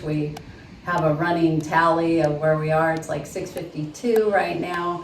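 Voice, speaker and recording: A woman with an American accent speaks at a moderate pace in a monotone, flat intonation and fairly low pitch, with audible room echo and noticeable background noise. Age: 50s. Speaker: construction office worker. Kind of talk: audition video.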